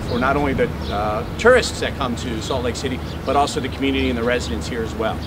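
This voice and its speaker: Fairly quick speech from a man, with noticeable background noise. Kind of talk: ceremony speech. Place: street.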